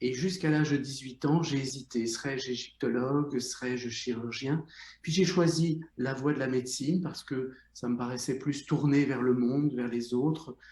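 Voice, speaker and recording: The man's medium-pitched voice is somewhat breathy, his intonation fairly even. He talks at a moderate pace with hardly any pauses. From Belgium, Brussels. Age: 60s. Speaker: psychotherapist, former surgeon. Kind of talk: interview.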